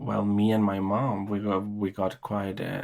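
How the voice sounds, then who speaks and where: With a Norwegian accent, a man talks at a fairly slow pace against noticeable background noise. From Chile and Norway. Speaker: podcast guest, immigrant. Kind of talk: interview. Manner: halting, many fillers and repetitions.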